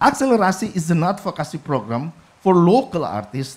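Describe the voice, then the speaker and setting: Someone with an Indonesian accent talks at a moderate pace. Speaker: government official. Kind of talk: conference presentation. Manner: halting.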